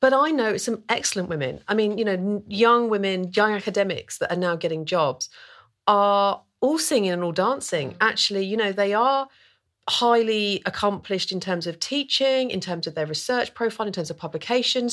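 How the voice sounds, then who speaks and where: The woman has a normal speaking voice and lively intonation. She speaks at a moderate pace. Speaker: historian. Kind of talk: panel discussion.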